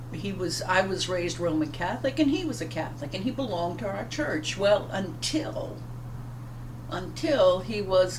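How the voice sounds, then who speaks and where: Audible room echo and noticeable background noise fill the recording. A woman talks at a moderate pace. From US South, Louisiana (Plaquemines Parish). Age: 60s. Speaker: pastor. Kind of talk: devotional talk. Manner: halting.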